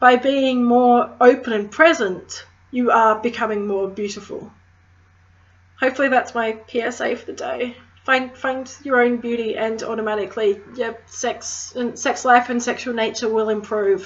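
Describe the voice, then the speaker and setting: A woman's high voice with a strong Australian accent, at a moderate pace with fairly even intonation. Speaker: crystal healer, witchcraft vlogger. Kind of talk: casual educational vlog.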